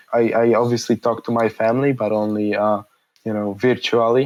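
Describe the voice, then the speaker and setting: Speaking at an even, moderate speed, this man's voice sits in a middle pitch range. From Poland. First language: Polish. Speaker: engineer and innovator. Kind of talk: interview. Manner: hesitant, many fillers and repetitions.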